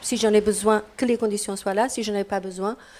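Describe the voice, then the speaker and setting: The woman's fairly high voice holds a fairly even intonation. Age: 60s. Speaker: participant at a public discussion on old age. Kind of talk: group discussion. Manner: halting.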